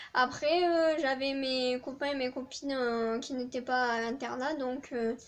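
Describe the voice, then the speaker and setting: A woman's high-pitched voice with fairly even intonation and a southern French accent. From southern France. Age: 20s. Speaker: student vlogger. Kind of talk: casual chat. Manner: hesitant, many fillers.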